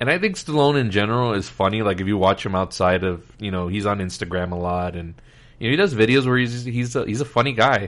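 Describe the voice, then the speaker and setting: Against a quiet background, a man talks at a very fast pace in a fairly low voice with ordinary pitch variation. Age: 30s. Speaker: podcast host. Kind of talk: casual chat.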